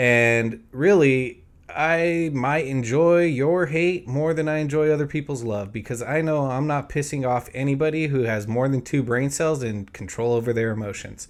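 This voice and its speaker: A man with an American accent has a plain, everyday voice at a fairly high pitch. He talks at a moderate pace with ordinary pitch variation. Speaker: political commentary video host. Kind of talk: opinion monologue.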